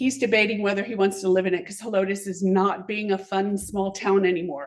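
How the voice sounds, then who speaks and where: Speaking at a very fast pace, a woman with a Texan accent uses a medium pitch. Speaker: business owner, public commenter. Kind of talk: public comment at council meeting. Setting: city council meeting.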